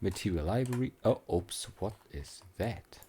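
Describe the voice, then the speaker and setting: On a very clean recording with a silent background, a man with a fairly low, dark and mellow, somewhat breathy voice speaks at a fairly slow pace with lively intonation. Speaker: 3D software tutorial creator. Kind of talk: tutorial. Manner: casual, hesitant with fillers and restarts.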